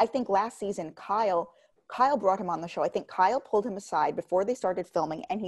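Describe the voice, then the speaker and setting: Against a quiet background, an ordinary speaking voice moves at a fairly quick pace. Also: woman. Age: 30s. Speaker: podcast host, pop culture commentator. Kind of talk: casual chat.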